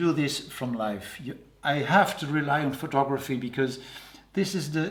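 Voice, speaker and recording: With a Dutch accent, a man speaks fairly slowly at a fairly high pitch. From Netherlands. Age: 60s. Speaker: portrait painter. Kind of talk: interview. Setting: artist's studio. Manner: halting.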